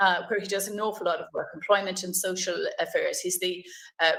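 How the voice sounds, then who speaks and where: A woman speaks with an Irish accent. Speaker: politician, webinar chair. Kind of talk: panel moderation.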